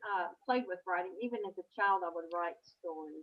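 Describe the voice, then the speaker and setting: With a Southern US accent, a woman talks using lively intonation. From Kentucky. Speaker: author. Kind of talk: interview. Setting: video call.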